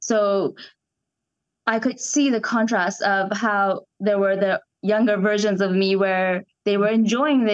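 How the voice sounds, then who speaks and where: A woman speaks at a fairly slow pace with medium pitch and fairly even intonation. The background is quiet. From Canada (Toronto), partly Iran. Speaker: actress. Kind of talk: casual interview chat.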